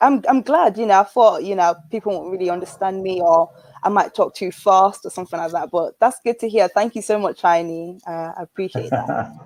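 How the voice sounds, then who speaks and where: Speaking with a northern English accent, a woman talks at a fairly quick pace with hardly any pauses and lively intonation, the sound dry and close with no echo. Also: medium pitch for a woman. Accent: British, northern-leaning rather than London. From Nigeria. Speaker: guest from London. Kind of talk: casual chat.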